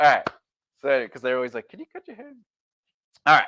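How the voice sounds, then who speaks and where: A man with an American accent speaks in an animated tone, recorded with a dry, close sound and no echo. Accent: New York accent, noted by casting directors. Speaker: actor and self-help video host. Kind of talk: motivational talk. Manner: animated, self-interrupting.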